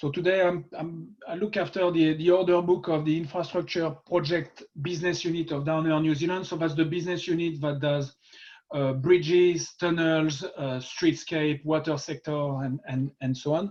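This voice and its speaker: A fairly high-pitched man's voice in a French accent, monotone and flat, at a moderate pace. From France. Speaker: construction executive. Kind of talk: webinar talk.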